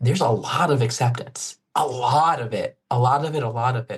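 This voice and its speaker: This man's voice is somewhat breathy and medium in pitch. He speaks at a moderate pace with ordinary pitch variation. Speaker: actor and stuttering advocate. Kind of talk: interview answer. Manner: stutters.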